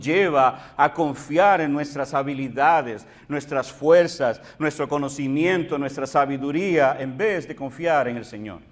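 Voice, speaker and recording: The delivery is fairly slow with hardly any pauses. Loudness swings widely while pitch varies in an ordinary way. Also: man. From Puerto Rico. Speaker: pastor. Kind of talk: sermon.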